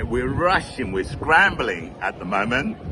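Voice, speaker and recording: Over noticeable background noise, a man speaks at a fairly slow pace with very wide pitch swings. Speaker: football fan vlogger. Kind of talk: casual monologue. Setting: pub. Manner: unscripted, off the cuff.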